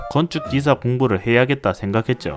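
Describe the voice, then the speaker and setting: A man speaks at a moderate pace with a medium pitch. Music plays in the background. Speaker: software developer. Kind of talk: casual storytelling narration.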